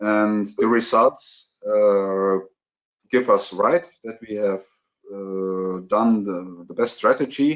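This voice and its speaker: A man speaks at a very slow pace with a German accent. His pitch is fairly low, with ordinary pitch variation. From Germany. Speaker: contact lens specialist. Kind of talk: webinar Q&A. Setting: online webinar. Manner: halting, many fillers.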